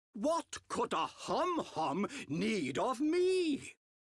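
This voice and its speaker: In a put-on character voice, a man speaks at a very slow pace and an extremely high pitch. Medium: video game.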